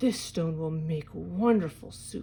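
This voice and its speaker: Putting on a character voice, a woman speaks at a fairly low pitch and a fairly slow pace with lively intonation, over clear background noise. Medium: read story. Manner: coaxing, persuasive.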